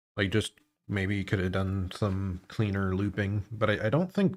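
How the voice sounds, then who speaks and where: A man speaks quietly at a fairly low pitch. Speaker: vtuber streamer. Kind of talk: gaming livestream commentary. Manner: hushed tone.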